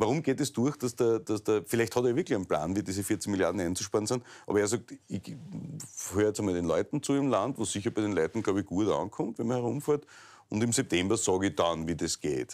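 A man speaks at a very fast pace with lively intonation and a fairly low pitch. The background is quiet. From Styria, Austria. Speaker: talk show host. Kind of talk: interview. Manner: casual, joking. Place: office. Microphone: lapel.

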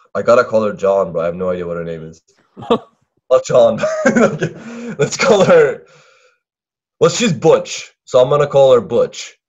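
A man speaks at a moderate pace with big swings in loudness. The background is quiet. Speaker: storyteller on call. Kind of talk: casual chat retelling a cartoon. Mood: playful, joking. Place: home room. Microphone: headset.

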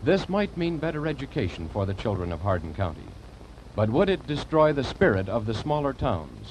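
A man at a fairly quick pace with very wide pitch swings, over light background noise. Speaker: program introducer narrator. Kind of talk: broadcast narration. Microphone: old recording.

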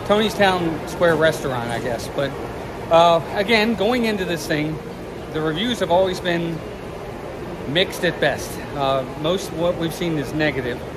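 Background noise is noticeable throughout. Through it, a man talks. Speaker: vlogger. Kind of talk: casual vlog chat, restaurant review. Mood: relaxed, friendly. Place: street. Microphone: phone near.

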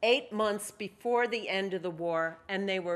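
Someone reads in a natural reading voice whose pitch varies an ordinary amount.

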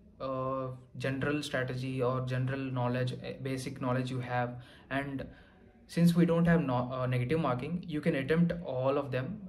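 A man with an Indian accent speaks at a fairly slow pace, his fairly high pitch moving with ordinary variation. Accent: Indian English (Telugu). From Andhra Pradesh, India. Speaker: exam topper sharing success story; candidate. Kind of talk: testimony and exam advice. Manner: hesitant, many fillers. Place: home room.

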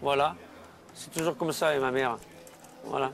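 A man talking at a fairly quick clip, dry sound with no echo, light noise behind him. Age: 40s. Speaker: son in a documentary. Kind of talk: casual chat. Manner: halting. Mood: exasperated, complaining about mother. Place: cafe. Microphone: lapel.

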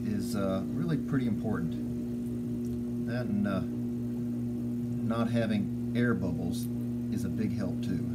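Loud background noise sits behind the speech. A man talks at a fairly slow pace. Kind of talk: tutorial. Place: workshop. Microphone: phone near.

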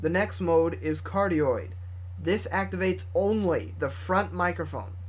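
Somewhat breathy and very deep, a man's low-pitched voice moves at a fairly slow pace with ordinary pitch variation. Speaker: product reviewer. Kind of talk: tutorial. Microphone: studio mic.

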